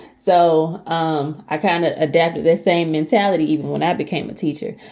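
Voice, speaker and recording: Fairly low in pitch with a dark, mellow tone, a woman with an American accent talks at a fairly quick pace. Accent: Southern US dialect, comes out sometimes. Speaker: lifestyle vlogger, former teacher. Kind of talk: casual talk to camera. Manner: hesitant, many fillers.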